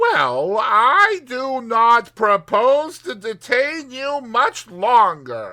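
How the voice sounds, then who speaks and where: A put-on, squeaky character voice with a fairly high pitch is raised and projected, moving at a very slow pace with hardly any pauses. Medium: read story. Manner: smug, mocking.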